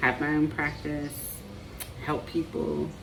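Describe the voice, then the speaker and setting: A woman with a slight Southern US accent, audible room echo and noticeable background noise. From Appalachia, US. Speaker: marriage and family therapist. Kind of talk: personal vlog monologue. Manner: hesitant, many fillers.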